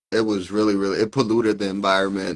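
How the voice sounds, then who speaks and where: A man with an American accent speaks in a fairly low, monotone voice with flat intonation. The recording is very clean, with a silent background. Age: 30s. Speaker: AI consultant. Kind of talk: interview.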